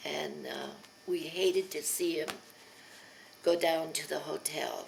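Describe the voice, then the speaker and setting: A woman with an American accent talks very slowly. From Pennsylvania. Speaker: elderly mother telling her life story. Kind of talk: oral history interview. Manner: hesitant, with many fillers.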